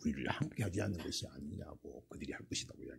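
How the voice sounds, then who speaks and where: This man talks fairly quickly, with vocal fry in his voice. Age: 70s. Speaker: pastor. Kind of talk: sermon.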